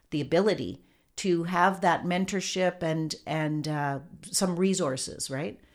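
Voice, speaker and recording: A woman's normal speaking voice with a Canadian accent, fairly low in pitch, with ordinary pitch variation. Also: very clean recording, silent background. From Thunder Bay, northwestern Ontario, Canada. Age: 60s. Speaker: filmmaker. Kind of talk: interview.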